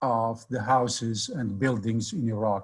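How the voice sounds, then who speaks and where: A man's somewhat breathy voice at a very slow pace, with ordinary pitch variation. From Baghdad, Iraq. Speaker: editor and community leader. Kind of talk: history lecture on video call.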